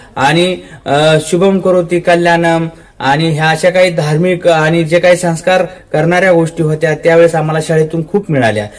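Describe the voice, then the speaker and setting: Heard against noticeable background noise, a man with a high pitch keeps fairly even intonation and very even loudness. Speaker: local news presenter. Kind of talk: casual report to camera.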